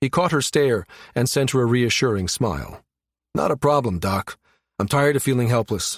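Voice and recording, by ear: Reading aloud in a natural voice, ordinary pitch variation, quiet background.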